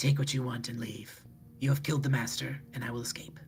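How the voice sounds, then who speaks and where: Clear background noise runs behind a man doing a put-on character voice. It is raspy, medium-pitched and very fast. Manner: hissing, regal.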